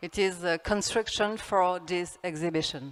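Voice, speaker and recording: A woman speaks with a French accent at a very slow pace. Her pitch shows ordinary variation. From France. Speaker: architect. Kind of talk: conference talk. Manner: halting.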